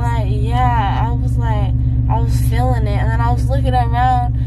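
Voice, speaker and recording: A woman at a moderate pace against loud background noise. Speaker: vlogger. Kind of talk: casual vlog chat. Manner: groggy, slurred post-anesthesia speech through swollen jaw.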